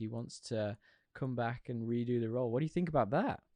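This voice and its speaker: A man with a Yorkshire accent speaks against a quiet background. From Yorkshire, northern England. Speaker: podcast co-host. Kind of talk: casual chat.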